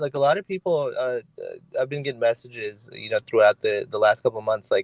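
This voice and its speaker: The voice has a Californian accent and a dry, close sound with no echo. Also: man. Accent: California English. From California, Hayward (Bay Area). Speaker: content creator. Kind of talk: podcast interview. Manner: halting, many fillers and repeats.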